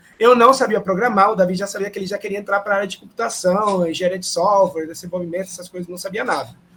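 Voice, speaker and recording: A man speaks at a very fast pace with a high pitch and fairly even intonation. His loudness swings widely. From Peru. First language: Spanish (speaking Portuguese). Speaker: professor. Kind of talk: panel talk. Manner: hesitant, many fillers.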